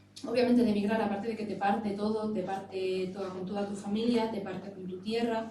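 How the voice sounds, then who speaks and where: Over noticeable background noise and audible room echo, a woman with an Extremaduran accent speaks in a fairly high voice. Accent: Extremaduran Spanish, kept. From Spain, Extremadura (Navalmoral de la Mata). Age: 30s. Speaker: panel speaker, emigrant. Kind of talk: public talk, panel discussion. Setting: stage with audience.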